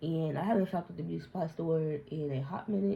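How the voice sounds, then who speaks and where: A woman speaks at a fairly quick pace with a very deep, low pitch. Her tone is dark and mellow, and somewhat breathy. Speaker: beauty youtuber. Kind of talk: casual chat. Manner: rambling, off-topic talk.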